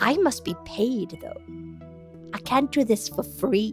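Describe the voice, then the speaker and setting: Clear music plays in the background. A woman uses a put-on character voice at a fairly slow pace. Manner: demanding, mercenary.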